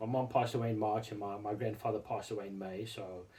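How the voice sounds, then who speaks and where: A man's somewhat breathy, dark, mellow voice at a fairly quick pace with fairly even intonation. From South Africa. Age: 40s. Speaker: RC hobby YouTuber. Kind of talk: casual vlog monologue. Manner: halting, many repetitions and fillers.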